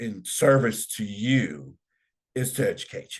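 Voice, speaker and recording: Against a quiet background, a man speaks at a fairly slow pace with vocal fry and lively intonation. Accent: American. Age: 60s. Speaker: political commentary host. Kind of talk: educational talk. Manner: halting, with many fillers and repeats.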